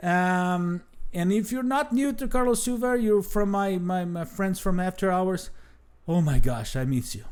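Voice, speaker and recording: Speaking fairly slowly with a Brazilian Portuguese accent, a man uses a high pitch and lively intonation. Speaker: travel show host. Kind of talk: unscripted talk to camera. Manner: halting, many fillers and restarts.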